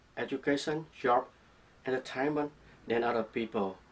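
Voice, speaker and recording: A man speaks with a Vietnamese accent. His intonation is fairly even. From southern Vietnam, Saigon. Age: 30s. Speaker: student. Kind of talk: class presentation. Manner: read from a script.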